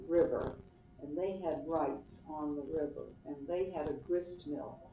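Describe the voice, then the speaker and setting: A woman's very deep, low voice, very slow and fairly even in intonation, with audible room echo and noticeable background noise. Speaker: family history interviewee. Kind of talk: oral history interview. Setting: at home.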